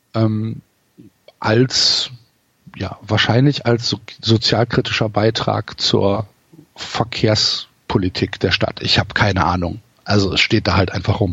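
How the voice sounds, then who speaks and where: A man with a fairly low voice talks at a very slow pace. He leaves long, frequent pauses, and his intonation stays fairly even. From Cologne area, Germany. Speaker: football fan and podcaster. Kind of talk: casual interview. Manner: hesitant, many fillers.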